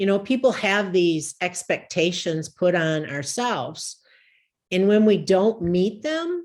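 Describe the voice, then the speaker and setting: A woman's medium-pitched voice with lively intonation at a very slow pace, on a very clean recording with a silent background. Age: 50s. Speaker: equine coach, recovering alcoholic. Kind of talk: podcast interview. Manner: halting, many fillers.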